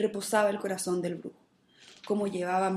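Text is being read out. The voice used is natural.

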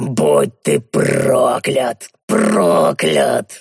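A man performs a put-on character voice. It is breathy and growling. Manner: hateful, breathy.

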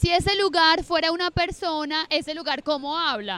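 A woman's extremely high voice at a moderate pace with ordinary pitch variation. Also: fairly bright tone.

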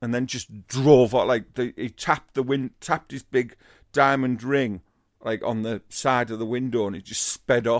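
A man with a Teesside accent in a very clean recording with a silent background and a dry, close sound with no echo. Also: medium pitch for a man, moderate pace. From Teesside, northern England. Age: 50s. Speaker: comedian. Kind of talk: casual chat.

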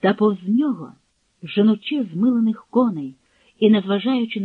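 The background is quiet as an unforced reading voice carries through.

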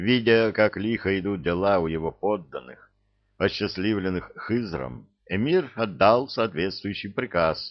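A natural reading voice with ordinary pitch variation and a quiet background

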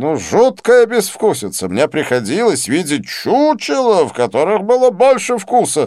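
Using a put-on character voice, a man speaks at a high pitch with very wide pitch swings, a slightly mellow tone and a fairly slow pace, in a very clean recording with a silent background.

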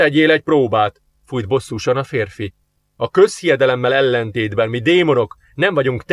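The clip has a natural reading voice with lively intonation. The background is quiet.

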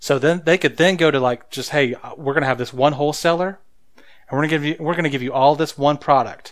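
Recorded very cleanly against a silent background, a man with an American accent talks at a fairly quick pace in a plain, everyday voice, pitched fairly high with fairly even intonation. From rural Oklahoma. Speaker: podcast co-host. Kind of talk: casual chat. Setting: studio.

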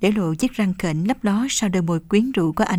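The reading voice here is unforced.

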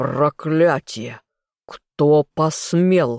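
A man bellowing in a put-on character voice at a fairly high pitch, dry and close with no echo, on a very clean recording with a silent background. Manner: roaring, furious.

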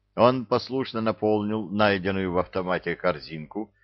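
Someone reading aloud in a natural voice, pitch moving in ordinary ways

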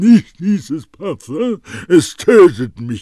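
Using a put-on character voice, a man speaks at a very slow pace with a high pitch and very wide pitch swings. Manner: theatrical, gasping, desperate.

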